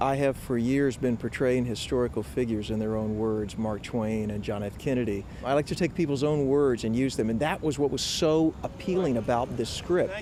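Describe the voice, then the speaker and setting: With a coastal South Carolina accent, a man speaks at a moderate pace and medium pitch, using ordinary pitch variation and hardly any pauses over noticeable background noise. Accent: Southern US (coastal South Carolina). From US South, coastal South Carolina. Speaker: actor. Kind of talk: interview.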